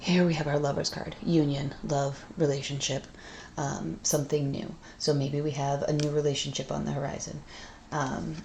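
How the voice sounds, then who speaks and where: A woman with a very deep, low pitch speaks in a dark, mellow tone that is somewhat breathy, using monotone, flat intonation at a moderate pace. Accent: American. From Massachusetts, USA. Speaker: tarot reader. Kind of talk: tarot reading to camera. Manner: blunt.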